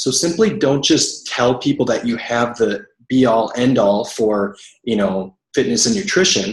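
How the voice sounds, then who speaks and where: This man talks at a medium pitch with lively intonation. His voice is somewhat breathy, and his loudness stays very even. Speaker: network marketing coach. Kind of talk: team training call. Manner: fast.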